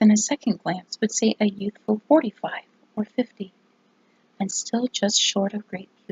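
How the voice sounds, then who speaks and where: A woman speaks at a fairly slow pace in a medium pitch, her voice somewhat breathy. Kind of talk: ASMR whispered book reading.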